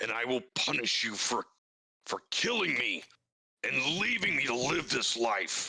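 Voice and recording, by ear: Using a put-on character voice, a man takes on a menacing tone at a medium pitch and a moderate pace. His loudness stays very even.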